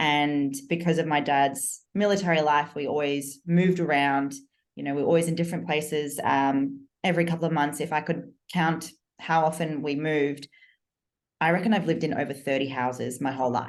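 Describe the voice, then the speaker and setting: A woman's very deep, low voice in an Australian accent, at a fairly quick pace with fairly even intonation. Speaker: business coach. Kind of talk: podcast interview.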